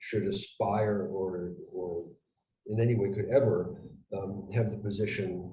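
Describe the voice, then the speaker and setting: With an American accent, a man talks at a fairly slow pace and a fairly low pitch, and audible room echo surrounds his voice. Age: 60s. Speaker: retired intelligence officer and geopolitical analyst. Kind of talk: conversational analysis interview. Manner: hesitant, many fillers and restarts.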